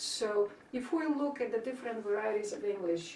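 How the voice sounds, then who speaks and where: At a moderate pace, a woman speaks with lively intonation amid noticeable background noise and audible room echo. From Bulgaria. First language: Bulgarian. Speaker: linguistics professor. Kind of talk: interview.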